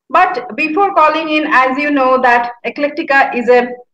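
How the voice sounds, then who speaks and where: A woman at a fairly slow pace with ordinary pitch variation, audible room echo around her. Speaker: show host. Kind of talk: interview show introduction. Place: home room. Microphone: webcam.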